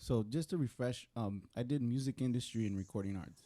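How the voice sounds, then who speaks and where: Here a man speaks with a Spanish accent. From US, Mexican American. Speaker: recording arts alumnus, songwriter. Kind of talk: panel discussion. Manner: casual, halting with repetitions.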